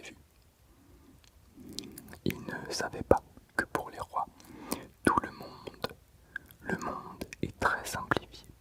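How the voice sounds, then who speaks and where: Over noticeable background noise, a whispering voice moves at a very slow pace. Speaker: ASMR reader. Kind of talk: sleep story reading from a book. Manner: very soft whisper.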